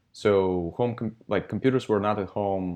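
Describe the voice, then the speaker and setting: Speaking at a moderate pace, a man with a Russian accent uses a fairly low pitch with ordinary pitch variation. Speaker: software company founder. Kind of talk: interview. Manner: hesitant, many fillers.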